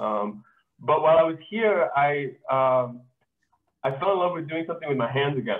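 Against a quiet background, a man with an unremarkable speaking voice talks at a moderate pace and a fairly high pitch. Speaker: glass artist. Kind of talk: online artist presentation. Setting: video call. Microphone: video call.

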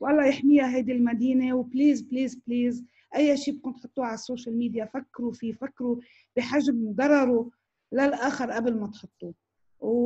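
Against a quiet background, a woman speaks at a moderate pace in a high pitch, her tone dark and mellow and her intonation monotone and flat. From Lebanon, Tripoli; Lebanon. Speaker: news director and journalist; news director, journalist. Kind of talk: online talk with Q&A. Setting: video call. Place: home room. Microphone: video call.

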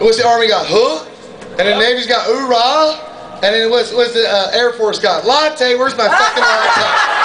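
A man's raised, projected voice at an extremely high pitch, animated in tone, with ordinary pitch variation, very even loudness, a moderate pace and noticeable background noise. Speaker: stand-up comedian. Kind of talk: raunchy stand-up comedy set, crude war and marriage stories to a bar crowd. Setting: stage with audience in a comedy club. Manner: brash, profane storyteller with sound effects; animated, laughs at his own jokes.

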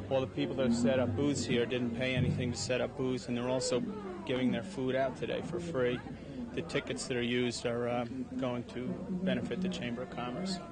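Over loud background noise, a man talks at a fairly quick pace with ordinary pitch variation, the sound dry with no echo. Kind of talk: interview answer. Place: garden. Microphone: handheld.

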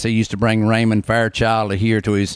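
A man with a North Carolina accent talks at a moderate pace with a fairly low pitch. The background is quiet and the sound is dry with no echo. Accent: Southern US, North Carolina. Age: 60s. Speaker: barber, bluegrass concert promoter. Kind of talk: interview answer. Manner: casual, hesitant. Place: shop. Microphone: handheld.

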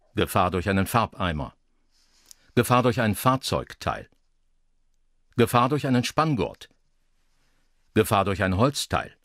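Recorded very cleanly against a silent background, a man speaks at a fairly slow pace and medium pitch with lively intonation, leaving long, frequent pauses. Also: dry, close sound with no echo. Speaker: former radio broadcaster. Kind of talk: radio traffic-warning style narration for an audio art piece. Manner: measured, neutral, professional.

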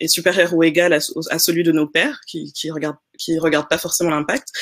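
A woman speaks very fast at a fairly low pitch with fairly even intonation. The background is quiet. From Senegal. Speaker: investor and entrepreneur; panelist. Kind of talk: panel discussion. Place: home room.

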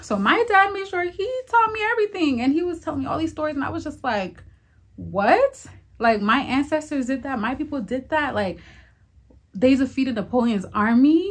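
Her pitch high and swinging very widely, a woman speaks with an American accent. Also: moderate pace. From Maryland, US (Haitian-born). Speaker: vlogger. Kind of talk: casual vlog monologue. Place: home room.

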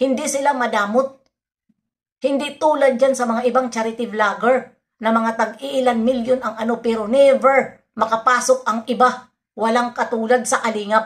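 A woman's high, flat monotone against a quiet background. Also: moderate pace. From Philippines. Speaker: reaction vlogger. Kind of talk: vlog commentary. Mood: opinionated, defending. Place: home room. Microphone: phone near.

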